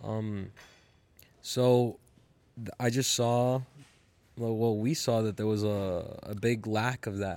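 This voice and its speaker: A man speaks at a very slow pace, leaving long, frequent pauses. His voice is medium in pitch, with fairly even intonation. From Colombian and Ecuadorian heritage. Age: young. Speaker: jiu-jitsu podcaster and grappler. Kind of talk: casual chat. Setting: gym.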